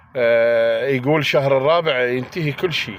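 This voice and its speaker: This man's voice sits at a medium pitch with ordinary variation. He speaks at a very slow pace. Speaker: political commentator. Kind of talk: angry monologue. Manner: animated.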